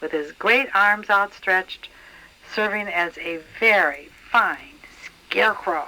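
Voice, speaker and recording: A woman's medium-pitched voice, bright and sharp in tone, at a very slow pace. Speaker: grandmother reading to grandchildren. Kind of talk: children's story read aloud.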